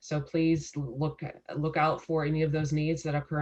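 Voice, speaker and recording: A woman with an American accent speaks at a fairly quick pace in a very deep, low pitch. Her voice is somewhat breathy and her intonation fairly even. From San Diego, California. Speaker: legal services representative. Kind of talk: casual interview.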